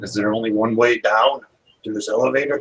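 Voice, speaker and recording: A man does a put-on character voice at a medium pitch. His intonation is fairly even and his pace fairly quick. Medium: actual play. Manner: gruff, blunt.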